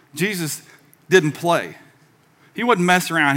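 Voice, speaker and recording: Noticeable background noise sits behind this speaker. He is a man with a Southern US accent. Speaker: pastor. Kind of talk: sermon. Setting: church with congregation. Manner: animated, preaching with audience call-and-response.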